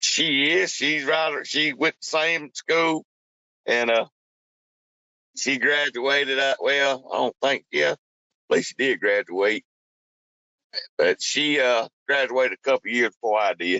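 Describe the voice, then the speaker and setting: A man speaks at a fairly high pitch and a fairly slow pace, with long, frequent pauses. His loudness stays very even, and his pitch varies in an ordinary way. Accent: North Carolina. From North Carolina (Burlington). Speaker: truck driver. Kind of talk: casual interview.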